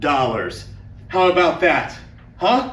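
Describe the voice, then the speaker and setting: A man speaks at a very slow pace. Audible room echo and light background noise accompany him. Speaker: teacher. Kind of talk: classroom announcement to students. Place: classroom.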